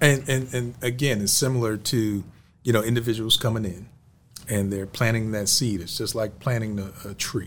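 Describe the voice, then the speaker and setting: With fairly even intonation, an unremarkable speaking voice keeps to a moderate pace. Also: man, medium pitch for a man. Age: 40s. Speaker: podcast host. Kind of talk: interview.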